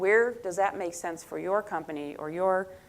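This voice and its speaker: Her voice is fairly low in pitch for a woman. She uses ordinary pitch variation. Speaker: conference panelist on workforce development. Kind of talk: conference presentation. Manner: fast.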